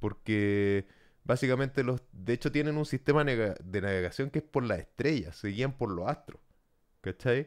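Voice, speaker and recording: Over a quiet background, a man speaks fairly slowly with lively intonation. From El Salvador. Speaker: podcast co-host. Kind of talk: casual chat. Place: home room. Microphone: studio mic.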